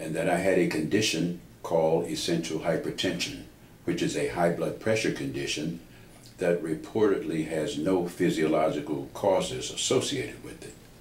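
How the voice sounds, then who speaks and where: With a very deep, low pitch and vocal fry, a man speaks at a moderate pace with lively intonation and big swings in loudness, amid audible room echo. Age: 70s. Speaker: patient. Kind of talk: testimony. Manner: formal.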